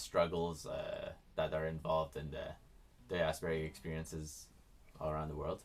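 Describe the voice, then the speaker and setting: A man speaks at a moderate pace. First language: Farsi. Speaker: singer-songwriter. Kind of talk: casual introduction before performance. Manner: halting.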